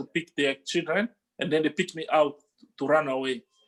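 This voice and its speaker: A man's fairly high-pitched voice with an African accent and ordinary pitch variation. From DR Congo. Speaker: musician. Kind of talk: interview testimony. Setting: video call. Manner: halting, many fillers.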